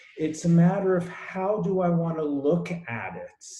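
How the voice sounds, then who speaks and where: This man's voice sits fairly high. His pitch varies in an ordinary way. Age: 60s. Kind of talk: group discussion. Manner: halting, repeats words.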